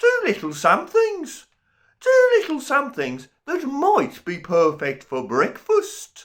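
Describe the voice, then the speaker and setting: Putting on a character voice, a man speaks at an extremely high pitch. His pace is fairly slow. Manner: menacing.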